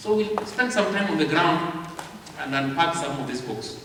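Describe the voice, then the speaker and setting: A man with a Kenyan accent speaks at a moderate pace in a high voice with lively intonation. Noticeable background noise and audible room echo come through. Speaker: publishing house representative speaking to literature evangelists. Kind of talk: convention talk.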